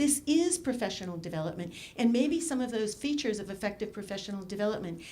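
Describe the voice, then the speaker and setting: A woman talks at a very fast pace in a fairly high pitch. Her voice swings very widely up and down. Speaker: education researcher, conference discussant. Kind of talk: conference talk.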